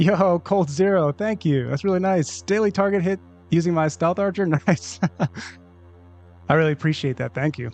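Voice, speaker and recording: A man speaks in a high pitch with ordinary pitch variation. Long, frequent pauses break up his speech while music plays in the background. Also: moderate pace. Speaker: gaming streamer. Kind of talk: live stream commentary.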